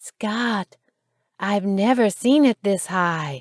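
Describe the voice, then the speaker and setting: A female-sounding voice at medium pitch performs a put-on character voice at a very slow pace. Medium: read story.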